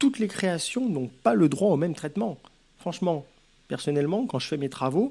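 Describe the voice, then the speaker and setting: A man speaks in a high-pitched voice with a Lyon accent. His pitch swings very widely. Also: moderate pace. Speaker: author giving advice. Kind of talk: advice vlog.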